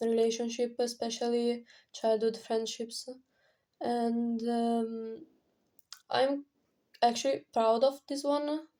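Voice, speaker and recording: A woman with a non-native accent speaks in a fairly high pitch with a dark, mellow tone, in a very clean recording with a silent background. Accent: non-native English, pronunciation off. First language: not English. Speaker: indie singer-songwriter vlogger. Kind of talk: casual vlog talk. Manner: halting, many fillers.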